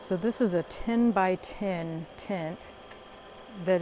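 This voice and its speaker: A woman speaks quietly with a fairly low pitch. Her pace is very slow. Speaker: solo camper vlogger. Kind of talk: casual vlog tour. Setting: outdoors at a campsite. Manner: quiet, hushed; hesitant, many fillers.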